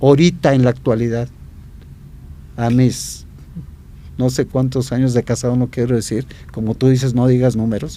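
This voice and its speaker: A man with a dark, mellow tone speaks with fairly even intonation and long, frequent pauses. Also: medium pitch for a man, moderate pace. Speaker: architect. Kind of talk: interview conversation.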